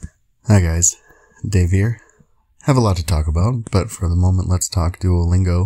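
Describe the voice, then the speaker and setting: His pitch is very deep and low, and his tone is dark, mellow and somewhat breathy. The man keeps his intonation fairly even. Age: 30s. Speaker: video blogger, language learner. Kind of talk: casual monologue.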